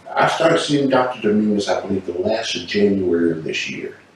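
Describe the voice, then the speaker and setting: Lively intonation from a man with a fairly low pitch, over noticeable background noise. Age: 60s. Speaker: patient, military retiree. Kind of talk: testimony. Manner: casual, conversational.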